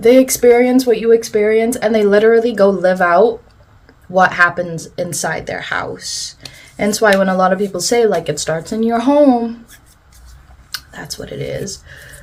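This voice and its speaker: A woman with a fairly high pitch and ordinary pitch variation speaks at a moderate pace, her loudness swinging widely over noticeable background noise. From South Africa, Afrikaans-speaking coloured community. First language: Afrikaans. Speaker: beauty vlogger. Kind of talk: casual chat while doing makeup. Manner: animated.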